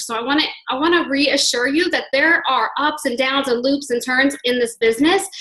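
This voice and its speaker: A raised, projected voice carries over noticeable background noise. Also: woman. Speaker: fitness network marketing coach and gym instructor. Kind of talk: team call talk, sharing personal story. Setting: conference call. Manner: fast; enthusiastic.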